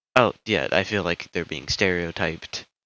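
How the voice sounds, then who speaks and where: The speech comes at a moderate pace with noticeable vocal fry. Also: man. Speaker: amateur YouTuber giving opinions. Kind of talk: casual opinion monologue. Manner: halting, many fillers.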